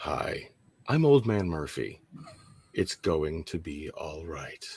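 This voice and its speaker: A put-on character voice with lively intonation drawls at a very slow pace. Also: man, very deep, low pitch for a man. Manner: soothing, reassuring.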